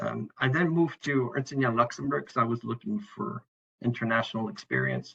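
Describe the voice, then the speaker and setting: A man with a French Canadian accent, in a dry, close sound with no echo. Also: fairly quick pace. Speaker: internal auditor. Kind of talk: presentation. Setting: online event.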